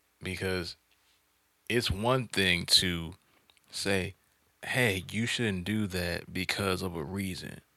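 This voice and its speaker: A man's very deep, low voice with a bright, sharp tone and fairly even intonation, at a very slow pace with long, frequent pauses, on a very clean recording with a silent background. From US South. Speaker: podcast host. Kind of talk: casual chat.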